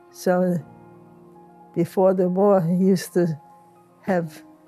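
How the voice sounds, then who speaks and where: Against music in the background, a woman talks very slowly with fairly even intonation. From Poland. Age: 80s+. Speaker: Holocaust survivor. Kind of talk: interview answer.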